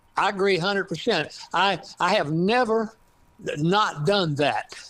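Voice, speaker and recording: A man with an East Texas accent speaks at a fairly slow pace and high pitch, with ordinary pitch variation and very even loudness, in a very clean recording with a silent background. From East Texas, Piney Woods. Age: 80s+. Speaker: author and retired scientist. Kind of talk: interview. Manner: halting, many fillers.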